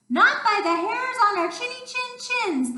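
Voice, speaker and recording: A woman does a squeaky, put-on character voice at an extremely high pitch. A slight echo trails it. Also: moderate pace. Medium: read story.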